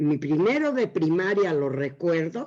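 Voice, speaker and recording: A woman's fairly low voice has a dark, mellow tone. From Mexico City. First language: Yiddish (speaking Spanish). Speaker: Yiddish teacher. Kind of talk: interview.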